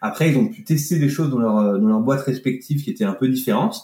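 The voice moves at a fairly quick pace, somewhat breathy and dark and mellow in tone, with lively intonation. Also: man. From France, Annecy (Alps). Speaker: business consultant and facilitator. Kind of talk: interview conversation. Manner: hesitant, with frequent fillers and repetitions.

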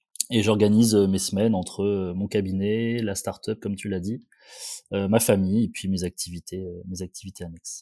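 A man speaks at a moderate pace in a fairly low voice with a dark, mellow tone and flat, monotone intonation, recorded very cleanly with a silent background and a dry, close sound with no echo. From northern France, Valenciennes area. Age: 30s. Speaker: periodontist and startup founder. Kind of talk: casual interview.

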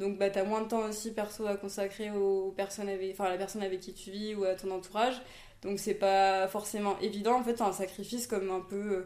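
A woman's fairly quick, monotone delivery, flat in intonation and medium in pitch. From Réunion (from age 8, born in Toulouse). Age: 20s. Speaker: entrepreneur, former nurse. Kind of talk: casual interview chat. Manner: hesitant, many fillers.

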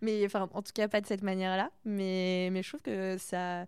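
A woman's medium-pitched voice at a moderate pace, in a very clean recording with a silent background. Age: 20s. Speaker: podcast host and young artist. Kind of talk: casual interview chat. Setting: artist's studio. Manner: animated.

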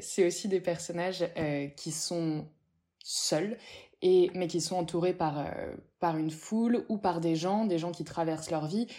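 Speaking at a very slow pace, a woman pauses long and often, her fairly low voice dark and mellow with fairly even intonation. The recording is very clean, with a silent background. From Paris, Pigalle. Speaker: novelist. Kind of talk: interview.

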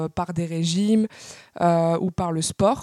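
A woman of medium pitch with a dark, mellow tone at a fairly slow pace, in a dry, close sound with no echo. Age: 20s. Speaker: patient sharing her illness experience. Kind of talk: interview testimony.

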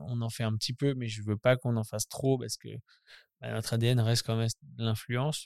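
Over a very clean, silent background, a man of medium pitch speaks at a moderate pace with monotone, flat intonation. Long, frequent pauses break up the dry, close sound, which has no echo. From Normandy, France (Caen). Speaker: influencer marketing agency manager. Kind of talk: casual interview.

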